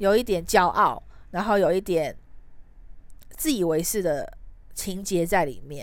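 A woman speaks at a fairly slow pace. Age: 30s. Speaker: podcast host. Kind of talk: solo podcast monologue.

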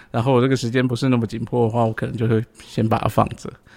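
Vocal fry runs through a man's monotone, flat delivery. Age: 40s. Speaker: podcast co-host. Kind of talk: casual chat.

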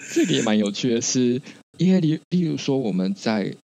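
A man with vocal fry speaks at a medium pitch in a dark, mellow tone, his pitch swinging very widely. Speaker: podcast co-host. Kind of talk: casual chat.

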